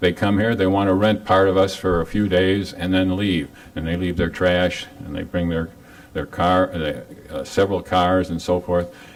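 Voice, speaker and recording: With noticeable background noise around him, a man speaks in a very deep, low pitch at a moderate pace, his intonation monotone and flat. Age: 80s+. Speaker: resident speaking at public comment. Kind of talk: public comment at council meeting. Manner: halting.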